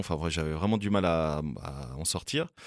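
Lively intonation from a man, on a very clean recording with a silent background. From Switzerland, Fribourg. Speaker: podcast host. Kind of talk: casual chat. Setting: studio.

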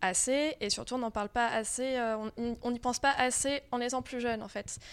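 A woman with a fairly high pitch talks with fairly even intonation in an unremarkable speaking voice. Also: very clean recording, silent background. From France. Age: 30s. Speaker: comics author. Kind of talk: interview. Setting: festival.

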